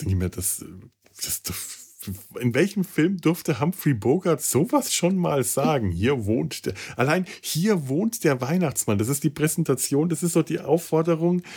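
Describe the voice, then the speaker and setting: Somewhat breathy and dark, mellow in tone, the man's voice moves at a fairly slow pace through very wide pitch swings. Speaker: podcast host. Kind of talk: casual chat. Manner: halting.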